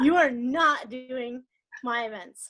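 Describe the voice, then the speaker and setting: A woman speaks in a high voice with ordinary pitch variation. The recording is very clean, the background silent. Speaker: network marketing leader. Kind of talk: motivational talk. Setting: conference call. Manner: fast.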